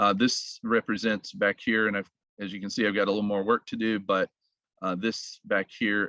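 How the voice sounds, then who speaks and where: A man with a Southern US accent, fairly low and monotone with flat intonation, bright and sharp in tone, dry and close with no echo over a quiet background. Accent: Southern drawl. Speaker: model railroader. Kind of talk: layout tour presentation.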